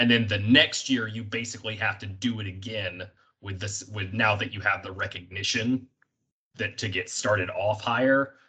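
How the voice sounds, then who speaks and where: Here a man speaks at fairly low pitch in a bright, sharp tone with fairly even intonation. His pace is moderate, and his loudness swings widely. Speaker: podcast host. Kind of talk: casual chat.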